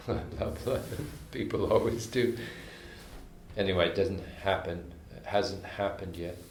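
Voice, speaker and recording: A man speaks at a moderate pace with a fairly low pitch, ordinary pitch variation and long, frequent pauses. Room echo can be heard. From Canada, Montreal. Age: 80s+. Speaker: jazz composer and arranger. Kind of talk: casual interview. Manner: halting, with frequent restarts.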